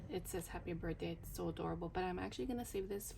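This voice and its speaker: A woman's fairly low voice amid noticeable background noise. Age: 30s. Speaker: budgeting vlogger. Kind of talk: casual vlog. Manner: whispering but trying to speak loudly; hesitant, many fillers.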